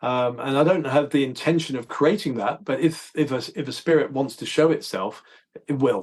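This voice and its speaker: A fairly high-pitched man with a southern English accent, at a moderate pace, with ordinary pitch variation. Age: 60s. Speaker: holistic dentist. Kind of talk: casual interview. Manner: halting.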